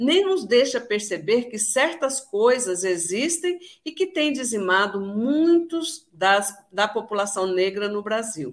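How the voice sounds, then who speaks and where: Very slowly, a woman talks at a fairly high pitch. Her pitch swings very widely. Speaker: radio host. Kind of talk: radio show hosting.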